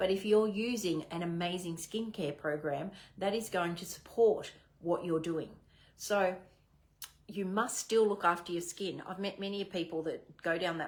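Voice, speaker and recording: With an Australian accent, a woman speaks at a medium pitch. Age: 60s. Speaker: direct sales manager. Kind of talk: training talk. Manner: animated.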